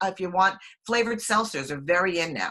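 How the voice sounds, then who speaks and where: At a moderate pace, a woman with a normal speaking voice talks at a fairly low pitch with ordinary pitch variation. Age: 60s. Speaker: health products distributor. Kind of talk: online webinar talk.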